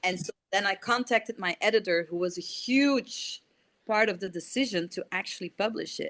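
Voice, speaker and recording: Speaking at a moderate pace with a non-native accent, a woman uses a fairly high pitch and ordinary pitch variation, and the sound is dry and close with no echo. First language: not English. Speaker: indie author. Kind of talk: casual chat. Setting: video call.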